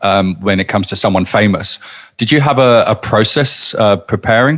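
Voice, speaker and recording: A man talks at a fairly quick pace in a plain, everyday voice. His pitch is medium, with ordinary pitch variation. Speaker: podcast host. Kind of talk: podcast interview questions.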